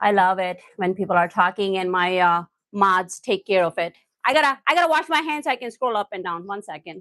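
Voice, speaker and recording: An animated, bright, sharp voice with lively intonation at a fairly quick pace, dry and close with no echo, over a quiet background. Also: woman, medium pitch for a woman. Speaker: cooking livestreamer. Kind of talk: live stream chat while cooking. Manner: animated, lively.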